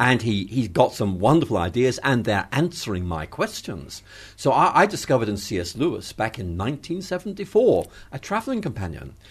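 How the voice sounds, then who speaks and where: Somewhat breathy and medium in pitch, a man talks at a fairly quick pace with very wide pitch swings. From Northern Ireland, Belfast. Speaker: theology professor. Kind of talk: interview conversation.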